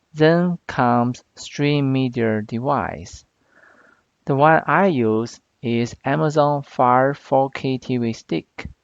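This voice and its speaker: A man with a non-native accent speaks at a very slow pace in a medium pitch with ordinary pitch variation. The sound is dry and close, with no echo. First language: not English. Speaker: product reviewer / tech YouTuber. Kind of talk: tutorial.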